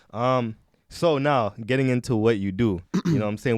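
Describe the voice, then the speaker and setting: A man at a medium pitch with an American accent, fairly quick and with lively intonation. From Haitian family, partly raised in the US. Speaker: podcast host. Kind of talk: casual podcast interview.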